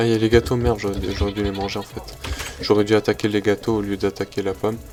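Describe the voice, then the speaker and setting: Music plays in the background as a man talks at a very fast pace. His intonation stays fairly even. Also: fairly low pitch for a man. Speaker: gaming youtuber. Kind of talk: let's play commentary. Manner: stumbling, hesitant.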